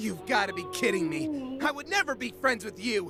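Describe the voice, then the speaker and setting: A man speaks at a high pitch in a cartoonish character voice. His pace is moderate, with clear music in the background. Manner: sarcastic, scornful.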